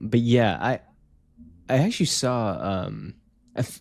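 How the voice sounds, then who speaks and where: On a very clean recording with a silent background, a man with a slight Canadian accent talks with ordinary pitch variation. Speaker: gaming podcast co-host. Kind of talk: casual chat.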